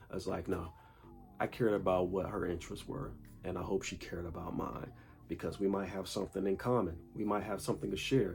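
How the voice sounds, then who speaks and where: A man talks at a fairly quick pace. His pitch varies in an ordinary way against noticeable background noise. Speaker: dating and self-improvement vlogger. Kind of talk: casual monologue.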